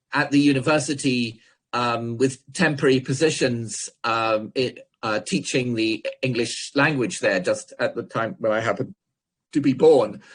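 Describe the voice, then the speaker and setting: Against a quiet background, a man with a medium pitch and a somewhat breathy voice speaks at a fairly slow pace with ordinary pitch variation. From Scotland and England. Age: 60s. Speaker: philosophy professor. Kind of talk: lecture. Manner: halting, many repetitions and fillers.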